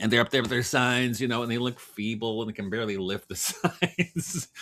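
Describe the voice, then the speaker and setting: A man's unremarkable speaking voice at medium pitch, with ordinary pitch variation and a fairly quick pace. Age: 60s. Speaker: writer and farmer. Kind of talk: casual chat.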